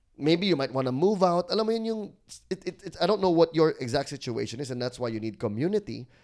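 Talking at a very fast pace, a man uses a fairly high pitch. His pitch swings very widely. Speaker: podcast co-host. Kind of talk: casual chat.

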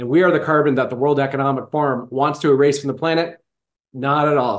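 This man's voice sits fairly high in pitch. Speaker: podcast host. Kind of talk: casual interview chat. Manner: animated.

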